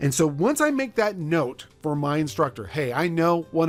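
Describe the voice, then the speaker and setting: A fairly high-pitched man at a fairly quick pace, with music in the background. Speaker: math professor. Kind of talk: lecture. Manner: fast.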